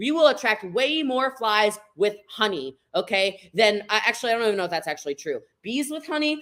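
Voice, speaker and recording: A loud woman's voice with very wide pitch swings. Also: fairly high pitch for a woman, fairly quick pace. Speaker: network marketing trainer. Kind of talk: live stream training. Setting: live video stream. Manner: fast.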